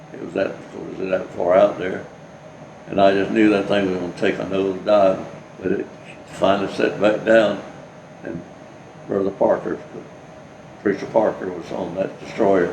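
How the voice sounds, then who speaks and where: Talking with a Southern US accent, a man uses a fairly low pitch, a monotone, flat intonation and long, frequent pauses, over noticeable background noise and audible room echo. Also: moderate pace. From US South. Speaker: war veteran. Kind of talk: oral history interview. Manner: halting.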